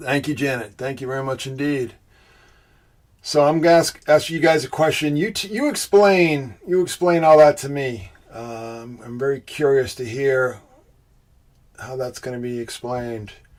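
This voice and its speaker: Speaking at a moderate pace, a man with a Boston accent has a fairly high voice. His loudness swings widely. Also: ordinary pitch variation. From Boston, US. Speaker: livestream host, symbolism researcher. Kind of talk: live stream chat with viewers.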